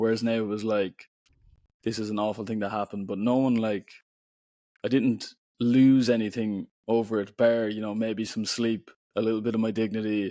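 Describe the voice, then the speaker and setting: Speaking at a moderate pace in an Irish accent, a man has medium pitch, a dark, mellow tone and monotone, flat intonation, on a very clean recording with a silent background. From Ireland. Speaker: poet and author. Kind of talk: podcast interview. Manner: casual, filler-heavy speech.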